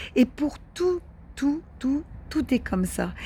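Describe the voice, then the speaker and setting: This woman speaks with lively intonation. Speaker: spiritual wellbeing video host. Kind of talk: monologue to camera, spiritual advice. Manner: hesitant, many fillers and repetitions.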